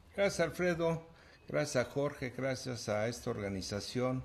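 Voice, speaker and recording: His voice sits at medium pitch and is somewhat breathy. This man's pitch swings very widely. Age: 70s. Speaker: broadcaster. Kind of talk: interview.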